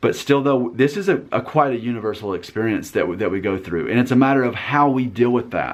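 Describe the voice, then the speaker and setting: Hardly pausing, a man talks at a very fast pace and medium pitch with lively intonation. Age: 30s. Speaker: video blogger. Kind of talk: casual chat. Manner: direct.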